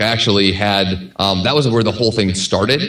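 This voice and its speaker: At a very fast pace, a man with a fairly low pitch speaks in fairly even intonation. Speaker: podcast host and author. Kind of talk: podcast interview.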